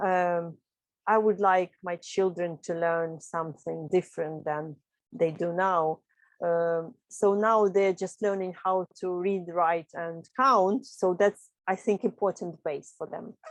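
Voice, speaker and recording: A woman's fairly low voice at a very slow pace, fairly even in intonation, with a dry, close sound and no echo. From Ukraine. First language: Russian. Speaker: upcycling teacher. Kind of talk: interview. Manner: hesitant, with fillers.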